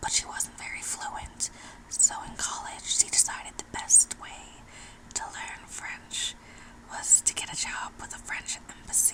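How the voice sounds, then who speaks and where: Someone whispers with an American accent at a fairly slow pace. Background noise is noticeable. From New Mexico, USA. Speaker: ASMR artist. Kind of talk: ASMR whisper ramble. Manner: whispered, close up.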